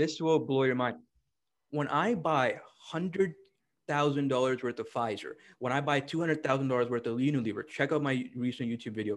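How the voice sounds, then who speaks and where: Here a man with an unremarkable speaking voice talks at a fairly quick pace over a quiet background. His pitch is fairly high, with ordinary variation. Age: 20s. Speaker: stock trader and trading educator. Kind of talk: casual chat.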